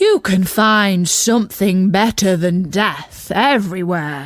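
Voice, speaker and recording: This put-on character voice sounds female, with medium pitch for a woman and a very slow pace. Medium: read story. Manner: hearty, encouraging.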